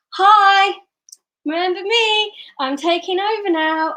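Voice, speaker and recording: A woman uses a loud, squeaky, put-on character voice pitched extremely high. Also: fairly slow pace. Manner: bright, shiny, pushy, attention-grabbing.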